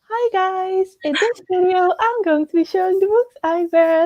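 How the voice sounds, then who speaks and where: Extremely high and squeaky, a put-on character voice talks at a moderate pace. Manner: cheerful, youthful vlogger.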